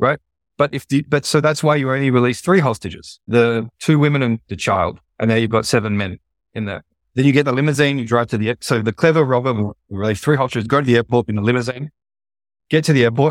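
With an Australian accent, this very fast speech has ordinary pitch variation and a dry, close sound with no echo, on a very clean recording with a silent background. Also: man, medium pitch for a man. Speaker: e-commerce entrepreneur and product sourcing expert. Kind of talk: casual interview conversation.

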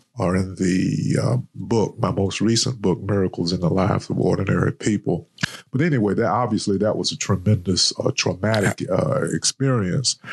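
In a North Carolina accent, a man with a fairly low pitch speaks at a moderate pace, keeping his loudness very even and his pitch varying in an ordinary way. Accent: Southern American (North Carolina). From US South, eastern North Carolina. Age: 60s. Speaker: author and retired professor. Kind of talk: interview. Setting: studio.

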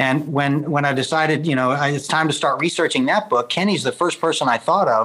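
This man's voice sits fairly high in pitch and has a bright, sharp tone. He speaks at a fairly quick pace. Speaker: author and organizational storytelling expert. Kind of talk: interview.

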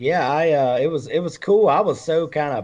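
A man speaks at a moderate pace in front of a quiet background. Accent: Alabama. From Alabama, Randolph County. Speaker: country music singer. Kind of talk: casual chat. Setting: video call.

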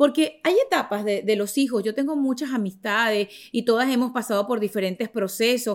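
On a very clean recording with a silent background, a woman with a fairly high voice speaks at a moderate pace with ordinary pitch variation. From Venezuela. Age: 40s. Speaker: podcast host. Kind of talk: casual chat. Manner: animated.

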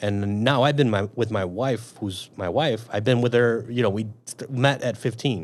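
A man with a Chicago accent, medium-pitched voice and moderate pace. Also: ordinary pitch variation, hardly any pauses. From Chicago, Northwest side. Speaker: police officer. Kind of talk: casual interview.

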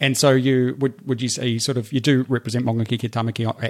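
Recorded very cleanly with a silent background and a dry, close sound with no echo, the speaker talks fairly quickly in a New Zealand accent with flat, monotone intonation. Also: man. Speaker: podcast host. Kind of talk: interview.

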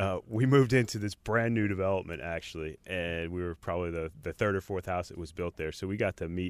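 On a very clean recording with a silent background, a man with a very deep, low voice talks at a very fast pace with ordinary pitch variation. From New Jersey. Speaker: brewery executive and former home brewer. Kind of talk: casual interview. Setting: studio.

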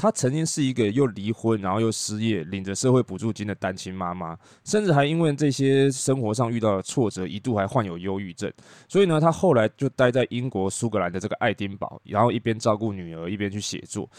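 A man with a Taiwanese accent speaks at a fairly low pitch and a fairly quick pace, with lively intonation and hardly any pauses. The sound is dry and close, with no echo. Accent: Taiwanese Mandarin. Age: middle-aged. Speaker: podcast host and tour leader. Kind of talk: casual monologue.

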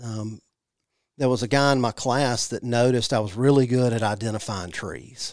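In a Mississippi accent, a man speaks at a medium pitch. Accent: US Southern (Mississippi). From Mississippi (Jackson). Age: 40s. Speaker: native plant nursery manager. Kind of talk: casual interview. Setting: studio.

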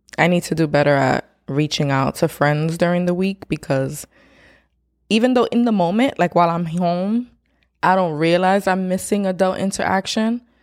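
A woman with a normal speaking voice talks at a moderate pace, her pitch fairly low and varying in an ordinary way, her loudness very even, on a very clean recording with a silent background. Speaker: podcast co-host. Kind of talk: casual chat.

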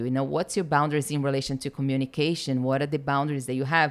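A woman speaks with a Portuguese accent. Her pitch is very deep and low. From Brazil. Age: 30s. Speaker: business mentor. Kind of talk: casual chat. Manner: animated.

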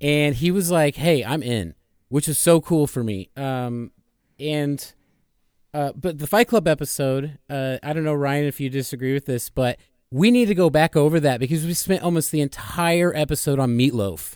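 A man with a plain, everyday voice, fairly high pitch, ordinary pitch variation and a moderate pace. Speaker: podcast guest and audio editor. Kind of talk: casual chat. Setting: remote call, late at night.

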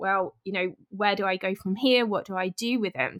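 Fairly even intonation from a woman with a British accent, moderate pace, dry and close sound with no echo. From southern England. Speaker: health and fitness podcaster. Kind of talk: interview.

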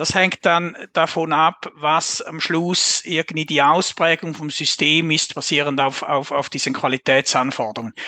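Speaking at a fairly slow pace with a Swiss accent, a man with fairly high pitch has a bright, sharp tone and fairly even intonation in a dry, close sound with no echo. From Switzerland. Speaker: software architecture consultant. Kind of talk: casual interview.

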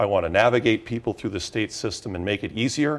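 A man speaks at a fairly quick pace with a medium pitch. The recording is very clean, with a silent background. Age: 40s. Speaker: political candidate. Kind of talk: interview. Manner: halting.

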